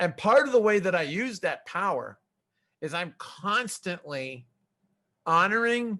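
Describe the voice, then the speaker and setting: A man with a high pitch and a bright, sharp tone speaks in a raised, projected voice with lively intonation. His pace is fairly slow with long, frequent pauses, and the background is quiet. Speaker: software testing expert. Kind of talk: conference talk. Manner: loud.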